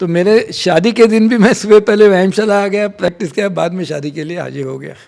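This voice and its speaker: Loudness swings widely as a man speaks at a moderate pace, his high pitch showing ordinary variation. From Mumbai, India. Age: 70s. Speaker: mallakhamb coach and sports institution administrator. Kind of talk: podcast interview. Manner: mixes English phrases into Hindi.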